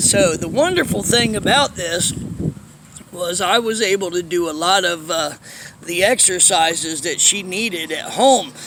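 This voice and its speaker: A high-pitched man at a fairly slow pace, ordinary pitch variation, noticeable background noise. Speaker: vlogger telling life story. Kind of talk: personal storytelling monologue. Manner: casual, halting with fillers.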